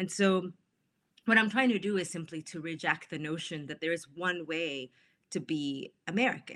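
In a Spanish accent, a woman with a fairly low pitch speaks at a moderate pace, her tone bright and sharp and her intonation lively. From Mexico. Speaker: author. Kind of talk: interview about her book.

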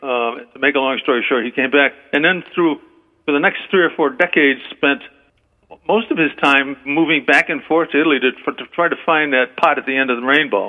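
At a fairly quick pace, a man speaks in a plain, everyday voice with a fairly high pitch and fairly even intonation. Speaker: author. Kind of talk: radio interview about his book. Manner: formal, measured.

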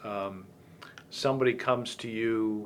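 A man with an American accent has a plain, everyday voice at a medium pitch with fairly even intonation. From US, Virginia (Fairfax County). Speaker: podcast host. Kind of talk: interview. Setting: in-person interview.

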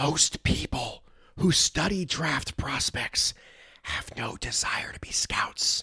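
A raspy put-on character voice comes out as a whisper. It moves at a very slow pace. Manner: whispering.

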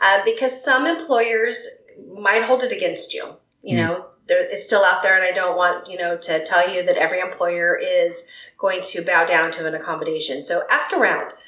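Audible room echo surrounds speech at a moderate pace. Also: woman. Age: 50s. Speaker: clinical psychologist. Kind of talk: interview conversation.

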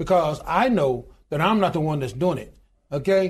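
Here a man speaks with a Southern US accent. His pitch is high, with ordinary variation. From US South (Alabama). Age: 60s. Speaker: union leader and pastor. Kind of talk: interview.

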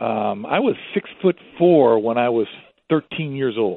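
A man is speaking. His pace is fairly slow. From New York City, then Florida from age 12. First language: Spanish. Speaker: zoo communications director and wildlife expert. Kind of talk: interview conversation.

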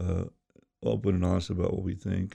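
This man has a very deep, low voice with a dark, mellow tone and vocal fry, speaking fairly quickly with fairly even intonation in an American accent. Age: 70s. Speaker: youth pastor. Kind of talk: interview.

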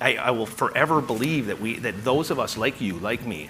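Amid noticeable background noise and audible room echo, a man talks at a fairly quick pace with lively intonation. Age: 40s. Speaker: journalist and media founder. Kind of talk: live interview on stage.

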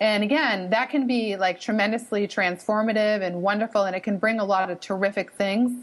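This woman speaks with a slight Boston accent. Her pace is moderate. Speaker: professor and author. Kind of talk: radio interview.

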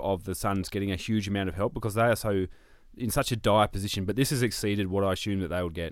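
A man with an Australian accent speaks at a very fast pace in a fairly low voice. The recording is very clean, the background silent. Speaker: football pundit. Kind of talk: casual chat.

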